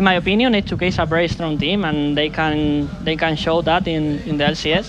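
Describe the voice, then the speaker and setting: A man with a Spanish accent speaks fairly quickly at a fairly high pitch, with fairly even intonation and very even loudness. Noticeable background noise and audible room echo fill the recording. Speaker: esports pro player. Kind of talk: post-match interview. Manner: halting, many fillers.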